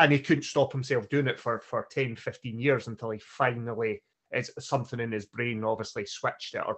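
Here a man talks in a normal speaking voice with a medium pitch. He keeps a fairly quick pace and ordinary pitch variation. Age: 40s. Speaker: podcast co-host. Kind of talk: casual podcast chat.

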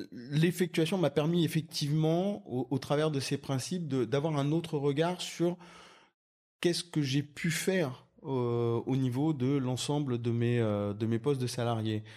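Very clean recording, silent background: a man with a fairly high pitch and a dark, mellow tone. He speaks at a fairly slow pace with ordinary pitch variation and very even loudness. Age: 40s. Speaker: entrepreneur. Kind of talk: interview.

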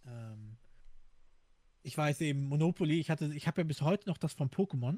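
In a very clean recording with a silent background and a dry, close sound with no echo, a man speaks at a fairly high pitch in a dark, mellow, somewhat breathy tone. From Hamburg, northern Germany. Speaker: podcast co-host. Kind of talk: casual chat.

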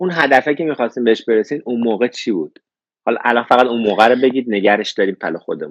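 At a very fast pace, a man talks with lively intonation at medium pitch, in a dry, close sound with no echo. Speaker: live show host, interviewer. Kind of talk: interview, casual chat.

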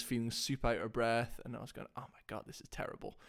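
Talking at a very fast pace, a man speaks with a Scottish accent at a medium pitch. His intonation is monotone and flat. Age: 20s. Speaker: CrossFit athlete and coach. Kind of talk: casual chat.

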